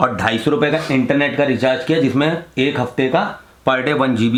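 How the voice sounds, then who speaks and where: Against audible room echo, a man speaks at a moderate pace and medium pitch with ordinary pitch variation. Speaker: travel vlogger. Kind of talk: casual travel vlog.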